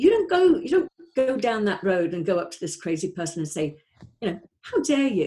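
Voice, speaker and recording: A woman's medium-pitched, somewhat breathy voice with a dark, mellow tone and an American accent, fairly quick in pace, with very wide pitch swings and big swings in loudness. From North Wales. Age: 60s. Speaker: life coach. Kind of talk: interview.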